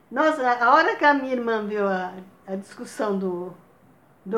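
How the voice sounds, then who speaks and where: A woman with a fairly high pitch and ordinary pitch variation keeps a moderate pace while noticeable background noise plays behind her. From Bahia, Brazil. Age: old. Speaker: grandmother telling life stories. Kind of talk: casual chat.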